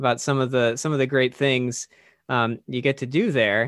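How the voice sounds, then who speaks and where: This man uses a normal speaking voice with medium pitch. The intonation remains fairly even. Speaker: podcast host. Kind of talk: casual podcast interview.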